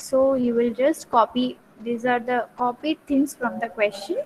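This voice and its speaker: A soft-spoken woman's high voice at a fairly slow pace, fairly even in intonation, over noticeable background noise. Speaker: teacher. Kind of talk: lecture. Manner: slow, repetitive dictation.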